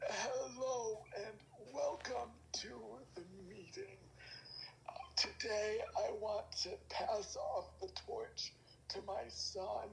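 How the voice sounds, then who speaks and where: The speaker uses a put-on character voice at a very slow pace. Clear background noise runs underneath. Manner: peaceful.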